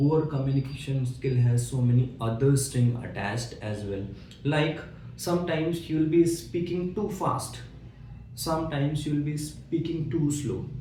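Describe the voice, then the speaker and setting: Recorded with audible room echo and noticeable background noise, a man speaks at a fairly high pitch. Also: ordinary pitch variation, moderate pace. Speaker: interview coach. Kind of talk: tutorial.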